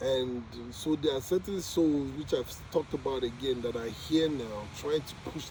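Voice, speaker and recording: This man has a non-native accent, a fairly high pitch and ordinary pitch variation. He speaks at a fairly slow pace over noticeable background noise. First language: not English. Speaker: vlogger documenting spiritual journey. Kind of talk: casual monologue. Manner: halting.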